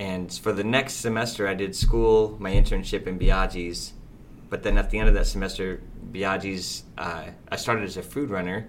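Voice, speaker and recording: In a Midwestern American accent, a man talks at a moderate pace. His pitch is fairly low, with ordinary variation. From US Midwest, Fort Wayne, Indiana. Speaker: restaurant owner. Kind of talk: casual interview.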